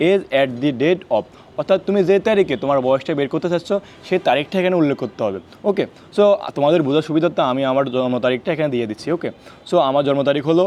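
A man speaks in a plain, everyday voice. His pitch is fairly high, with lively intonation. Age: 20s. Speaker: YouTuber giving defence recruitment guidance. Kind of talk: tutorial. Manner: casual.

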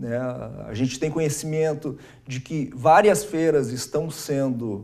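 At a very slow pace, a man speaks in a dark, mellow tone with a fairly high pitch. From Brazil, Estrela, Rio Grande do Sul; Rio Grande do Sul, Brazil. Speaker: lawyer, business association president; lawyer. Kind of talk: TV interview. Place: studio. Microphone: lapel.

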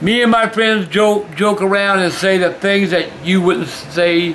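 A man's raised, projected voice with ordinary pitch variation over light background noise. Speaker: video host. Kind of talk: reading fan mail aloud. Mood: warm, amused. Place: home room.

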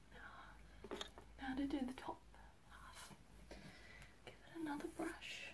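A woman speaks at a fairly slow pace, her loudness swinging widely. Long, frequent pauses sit against noticeable background noise. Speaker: ASMR creator. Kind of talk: ASMR ramble to camera. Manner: whispered, soft-spoken. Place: home room. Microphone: phone near.

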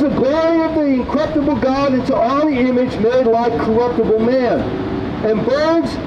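Noticeable background noise accompanies a man speaking at a fairly slow pace. His pitch variation is ordinary. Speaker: street preacher. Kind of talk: sermon. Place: street.

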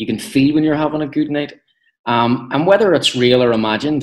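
A man with a Belfast accent at a fairly quick pace, ordinary pitch variation, and a quiet background. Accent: Belfast Northern Irish. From west Belfast, Northern Ireland. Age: 30s. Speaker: actor. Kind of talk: interview. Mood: relaxed, reflective, smiling. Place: home room. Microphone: video call.

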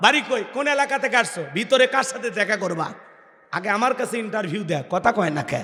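A man speaks in a high, raised, projected voice with an animated tone and lively intonation. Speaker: Islamic preacher. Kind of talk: sermon. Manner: animated, loud call-and-response.

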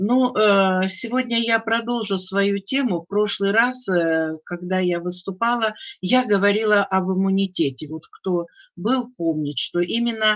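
Fairly slow speech over a quiet background. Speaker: webinar speaker. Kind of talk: webinar presentation. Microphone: video call.

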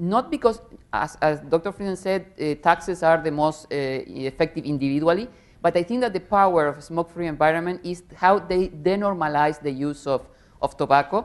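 Her pitch fairly low, a woman speaks in an ordinary speaking voice at a moderate pace with ordinary pitch variation. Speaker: tobacco control panelist; panelist. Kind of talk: panel discussion. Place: hall. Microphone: lapel.

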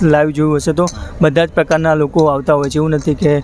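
A man's fairly high voice, dry with no echo, over light background noise. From North Gujarat, India. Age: 20s. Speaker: volunteer listener, social campaign founder; interviewee. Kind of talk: interview. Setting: outdoors under a bridge. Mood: reflective, calm. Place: street. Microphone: handheld.

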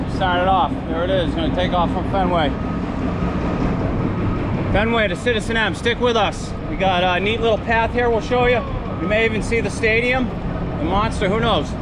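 Loud background noise surrounds a man's voice. He leaves long, frequent pauses. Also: moderate pace. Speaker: cycling vlogger. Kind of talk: casual vlog commentary. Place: bicycle. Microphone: phone near.

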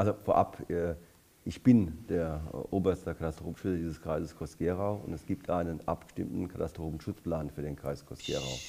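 A man with a very deep, low pitch, a dark, mellow tone and vocal fry, at a moderate pace with ordinary pitch variation. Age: 60s. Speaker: politician; election candidate. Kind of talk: election debate. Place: hall. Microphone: headset.

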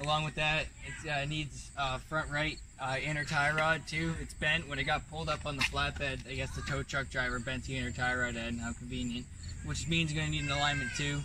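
The speech moves at a fairly quick pace. Room echo is audible throughout. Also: man, medium pitch for a man, fairly even intonation.

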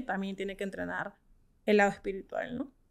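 A woman speaks against a quiet background. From Peru. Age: 30s. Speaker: startup co-founder; guest. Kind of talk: interview. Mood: reflective, earnest. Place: studio. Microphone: studio mic.

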